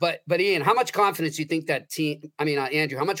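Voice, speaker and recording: A man talks at a very fast pace with lively intonation. His pitch sits fairly high. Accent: American. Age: 40s. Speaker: sports writer. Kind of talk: casual sports discussion.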